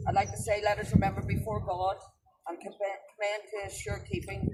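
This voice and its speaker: This speaker talks at a moderate pace with a Northern Irish accent. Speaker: ceremony leader. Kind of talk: remembrance ceremony address.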